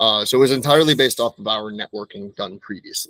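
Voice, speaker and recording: In an ordinary speaking voice, the speaker keeps a moderate pace and ordinary pitch variation, the sound dry and close with no echo. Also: man. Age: 30s. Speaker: moving company owner. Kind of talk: interview. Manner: conversational, some self-repetition.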